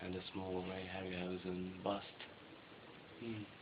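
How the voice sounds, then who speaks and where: Against noticeable background noise, a man talks at a very slow pace with a very deep, low pitch. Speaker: interviewer. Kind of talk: casual conversation.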